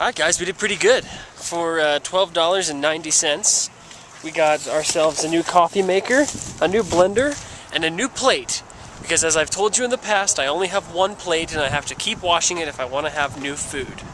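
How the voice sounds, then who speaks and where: Against noticeable background noise, a man with a high pitch talks at a fairly quick pace with ordinary pitch variation. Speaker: vlogger. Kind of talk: video diary. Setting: in a store; indoors, echoey dorm room. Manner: soft-spoken.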